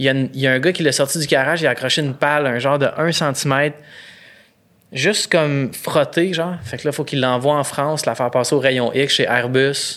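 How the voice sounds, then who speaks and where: Talking at a fairly quick pace in a Quebec accent, a man uses a fairly high pitch and fairly even intonation. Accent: Québécois French. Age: 30s. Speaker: photographer and comedian. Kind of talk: casual chat.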